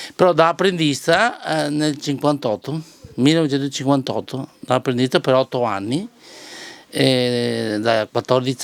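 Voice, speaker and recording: Speaking at a moderate pace, a man with a medium pitch uses ordinary pitch variation over noticeable background noise. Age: 70s. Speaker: knife sharpener. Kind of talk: interview. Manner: halting.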